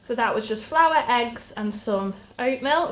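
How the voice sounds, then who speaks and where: A voice with a British accent against noticeable background noise. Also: woman. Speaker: stay-at-home mum vlogger and podcast host. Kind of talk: cooking tutorial.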